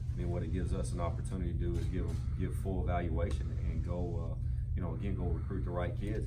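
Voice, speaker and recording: A man rattles off his words at a very fast pace with music in the background. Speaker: newly hired head football coach. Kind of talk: press conference answer. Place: meeting room. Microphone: camera far.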